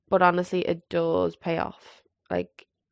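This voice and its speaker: This is a woman speaking with a Scottish accent. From Scotland. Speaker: podcast host. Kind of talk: solo monologue.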